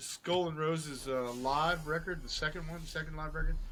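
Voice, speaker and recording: A man mumbles at a moderate pace, his pitch fairly high. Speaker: rock musician. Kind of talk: casual chat. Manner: mumbling.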